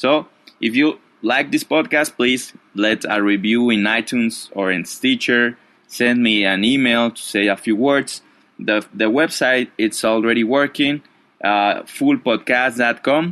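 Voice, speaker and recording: Speaking with a non-native accent, a man uses a medium pitch, a bright, sharp tone and a fairly slow pace. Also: ordinary pitch variation. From Mexico. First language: Spanish. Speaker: podcast host, Spanish teacher. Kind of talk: casual podcast monologue. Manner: halting, many fillers.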